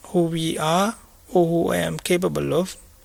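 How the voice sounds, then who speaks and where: A man speaks with a Sri Lankan accent. His pace is fairly slow. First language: Sinhala. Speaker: Buddhist monk teacher. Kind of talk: dharma talk. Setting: meditation retreat. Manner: halting.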